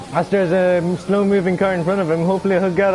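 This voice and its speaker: Very fast, flat, monotone delivery from a high-pitched man over noticeable background noise. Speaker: sim racing league commentator. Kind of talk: live commentary. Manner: halting, stumbling over words.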